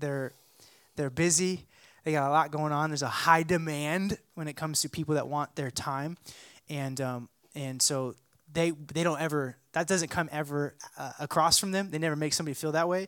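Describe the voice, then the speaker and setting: A man speaks at a moderate pace in a fairly high pitch with fairly even intonation. The recording is very clean, with a silent background. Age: 30s. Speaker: pastor. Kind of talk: church interview talk.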